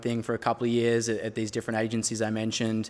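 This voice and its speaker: This man speaks with an Australian accent at a medium pitch. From Australia, near Melbourne. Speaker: brand strategist. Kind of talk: interview.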